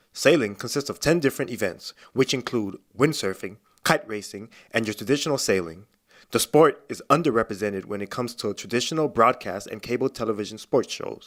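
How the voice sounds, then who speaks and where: A man's normal speaking voice, medium in pitch with ordinary pitch variation and big swings in loudness, at a fairly quick pace on a very clean recording with a silent background. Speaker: sports and news anchor/reporter. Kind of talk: on-location sports reporter stand-up.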